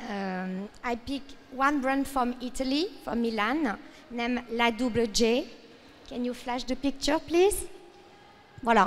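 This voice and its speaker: A French accent at a fairly slow pace, with long, frequent pauses and ordinary pitch variation. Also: woman, high pitch for a woman. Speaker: fashion industry speaker. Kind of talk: panel presentation. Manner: halting.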